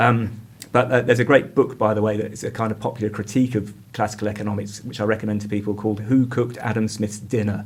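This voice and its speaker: A man speaks with an English accent at a very fast pace. His intonation is monotone and flat. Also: fairly low pitch for a man. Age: 50s. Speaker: community arts director and PhD researcher. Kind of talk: podcast interview. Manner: halting, with many fillers and restarts.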